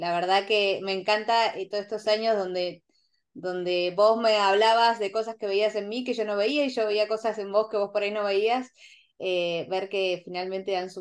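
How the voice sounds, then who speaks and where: A woman's normal speaking voice at medium pitch, moderate pace and fairly even intonation, over a quiet background. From Argentina, rural Buenos Aires province. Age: 40s. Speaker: interview guest. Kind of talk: casual interview.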